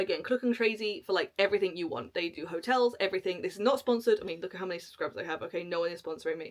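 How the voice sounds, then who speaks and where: Speaking in a British accent, a woman uses a medium pitch with ordinary pitch variation. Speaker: travel vlogger. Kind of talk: casual tutorial to camera. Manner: fast.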